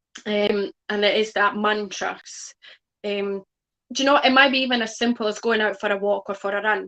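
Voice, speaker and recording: Dry and close with no echo, a woman's fairly high, bright, sharp voice moves at a fairly quick pace with fairly even intonation. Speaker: guest speaker on mindset and money. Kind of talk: online talk, interview. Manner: many fillers like um.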